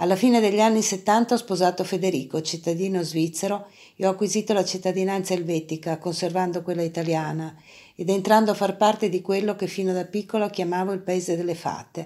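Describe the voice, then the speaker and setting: A woman's medium-pitched voice with a dark, mellow tone, fairly even intonation and a fairly quick pace, on a very clean recording with a silent background. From northern Italy, Parma. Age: 60s. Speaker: artist and art academy professor. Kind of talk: personal testimony.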